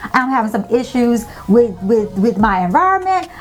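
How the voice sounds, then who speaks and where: Loud, animated speech from a woman at a high pitch, with very wide pitch swings and noticeable background noise. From US South, Tampa, Florida. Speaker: lifestyle vlogger. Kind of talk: casual monologue.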